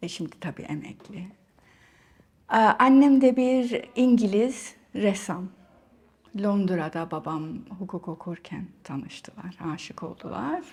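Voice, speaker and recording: A woman speaks at a very slow pace with long, frequent pauses. Her voice is somewhat breathy, with big swings in loudness. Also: medium pitch for a woman. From Cyprus, Nicosia. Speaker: writer, artist and academic. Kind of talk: interview. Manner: halting, many fillers.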